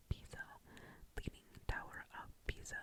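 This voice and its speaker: A breathy, whispering woman at a fairly slow pace over noticeable background noise. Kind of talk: ASMR storytime about a honeymoon in Europe. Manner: breathy, whispered, relaxing.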